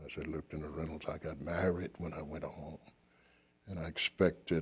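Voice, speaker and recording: A man with an American accent, very deep and low in pitch, somewhat breathy, with monotone, flat intonation at a fairly quick pace. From Arkansas. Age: 70s. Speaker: war veteran. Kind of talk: oral history interview. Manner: halting.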